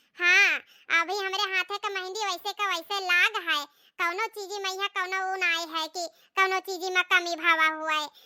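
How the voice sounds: In a cartoonish character voice, a woman speaks at an extremely high pitch with monotone, flat intonation at a moderate pace, the sound dry and close with no echo.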